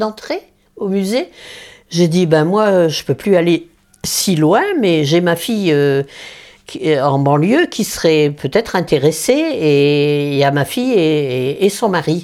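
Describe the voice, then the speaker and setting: Very slowly, a woman speaks in a dark, mellow tone with very wide pitch swings. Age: 90s. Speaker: elderly interviewee. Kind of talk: interview. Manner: halting.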